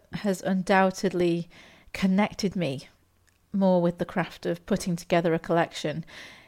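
The recording is very clean, with a silent background. A woman speaks in an English accent. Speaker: podcast host, novelist and poet. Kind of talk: podcast talk with poetry tips.

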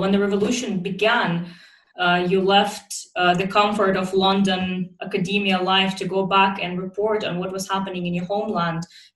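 A woman at a medium pitch and moderate pace, with noticeable background noise. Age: 20s. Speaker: podcast host. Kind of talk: scripted narration; interview.

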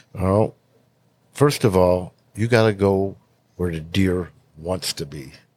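A man's very deep, low voice, very slow, with long, frequent pauses, big swings in loudness, and ordinary pitch variation. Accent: American. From western New York. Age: 60s. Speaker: hunting lure company owner. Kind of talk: casual chat.

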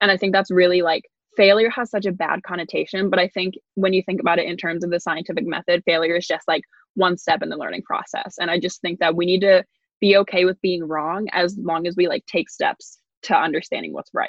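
A woman's plain, everyday voice at a medium pitch, fairly even in intonation and fairly quick in pace. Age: young. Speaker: undergraduate research assistant. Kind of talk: casual chat.

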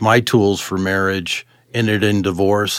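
A man talks at a fairly low pitch. The recording is very clean, with a silent background. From Colorado, US (moved from California at ten). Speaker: city utilities worker sharing his life story. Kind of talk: testimony. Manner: halting, many fillers and restarts.

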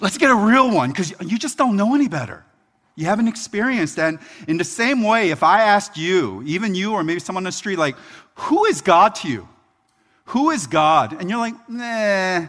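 High-pitched and with lively intonation, a man speaks in an American accent. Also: moderate pace. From Philadelphia, US. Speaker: pastor. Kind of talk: sermon. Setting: church.

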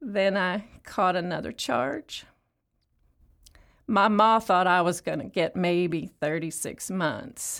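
A woman speaks slowly in a put-on character voice, fairly low-pitched with vocal fry and a fairly bright tone. Her pitch varies in an ordinary way, and the recording is very clean with a silent background.

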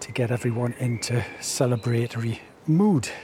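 A man speaks at a medium pitch with ordinary pitch variation in a British accent, with noticeable background noise behind him. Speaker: podcast host. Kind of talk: podcast presenting and interviewing. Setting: on location at a village hall.

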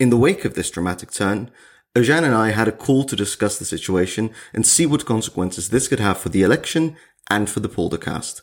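A man with a Dutch accent speaks at medium pitch with lively intonation and a fairly quick pace. The recording is very clean, with a silent background. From Netherlands, Zwolle. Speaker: podcast co-host. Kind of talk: casual chat; scripted narration.

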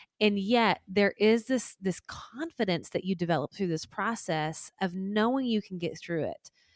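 A woman's medium-pitched voice in a Southern US accent, with lively intonation and hardly any pauses, on a very clean recording with a silent background and a dry, close sound with no echo. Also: moderate pace. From US South. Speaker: life coach. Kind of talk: interview conversation.

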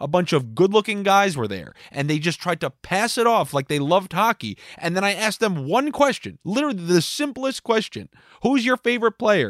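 A loud, animated voice moves at a fairly quick pace with very wide pitch swings. The sound is dry and close, with no echo. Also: man. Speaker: podcast host. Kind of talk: comedic monologue.

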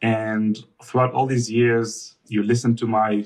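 A man with an Israeli accent speaks at a medium pitch. His intonation is fairly even. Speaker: husband. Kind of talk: casual interview chat with wife.

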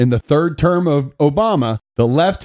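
A fairly high-pitched man with an animated tone at a moderate pace, dry and close with no echo, in a very clean recording with a silent background. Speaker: podcast co-host. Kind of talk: casual political commentary podcast. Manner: animated, jokey.

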